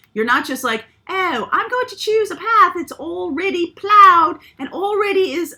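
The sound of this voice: Putting on a character voice, a woman sounds squeaky, with an extremely high pitch. Her pitch swings very widely at a moderate pace.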